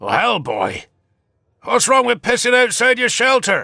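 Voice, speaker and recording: In a raspy, put-on character voice, a man speaks at an extremely high pitch. His pace is moderate. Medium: read story. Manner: gruff, blunt.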